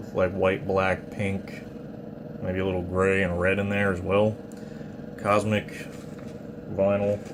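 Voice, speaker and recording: A man talks in a very deep, low pitch with monotone, flat intonation. Noticeable background noise and audible room echo surround him. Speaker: metal vinyl collector YouTuber. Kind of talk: casual show-and-tell video. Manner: hesitant with fillers.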